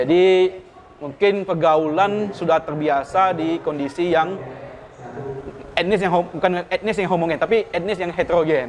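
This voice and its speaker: A man's high voice in a Pontianak accent, at a moderate pace with ordinary pitch variation, over noticeable background noise. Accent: Pontianak Malay. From Pontianak, West Kalimantan, Indonesia. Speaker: civil servant, regional tax office head. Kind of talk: podcast interview. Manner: halting.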